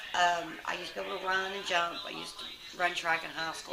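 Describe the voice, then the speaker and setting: With a Southern US accent, a woman speaks quickly in a fairly low, flat monotone, with audible room echo and music playing behind her. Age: 30s. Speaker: lifestyle vlogger. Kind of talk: casual chat. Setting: at home with kids. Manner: halting.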